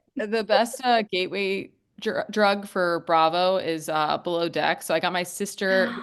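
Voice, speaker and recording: It is an ordinary speaking voice at a fairly slow pace with ordinary pitch variation. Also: woman, medium pitch for a woman. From New York. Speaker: social media creator. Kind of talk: casual chat.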